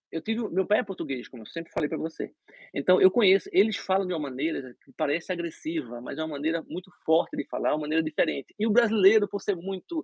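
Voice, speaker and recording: A high-pitched man with a Brazilian accent, very fast and with lively intonation. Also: big swings in loudness. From Brazil (Recife). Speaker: dentist. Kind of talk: interview. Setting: live stream.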